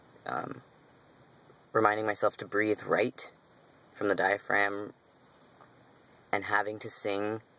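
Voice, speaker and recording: A bright, sharp tone at a fairly slow pace, with fairly even intonation and long, frequent pauses. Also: man, fairly low pitch for a man. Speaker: singer. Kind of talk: casual talk to camera.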